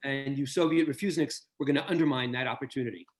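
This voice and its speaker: This is a man speaking with a New York accent. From US Northeast, New York City. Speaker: author and interviewer. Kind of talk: interview.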